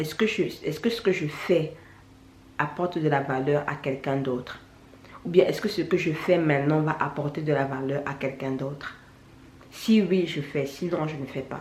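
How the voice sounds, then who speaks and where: Her voice is very deep and low, with ordinary pitch variation at a moderate pace. This woman is heard with audible room echo. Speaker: YouTuber, natural hair vlogger. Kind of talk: vlog monologue. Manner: halting, repetitive.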